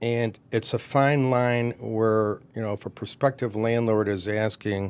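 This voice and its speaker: A man with a Michigan accent at a fairly slow pace and medium pitch, in a very clean recording with a silent background. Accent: Michigan American English. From Michigan, US Midwest. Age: 60s. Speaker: commercial real estate broker. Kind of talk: podcast interview.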